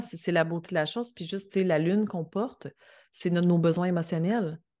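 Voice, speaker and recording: A woman with a fairly low pitch and ordinary pitch variation speaks at a moderate pace. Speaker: astrologer. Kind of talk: casual chat. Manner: calm.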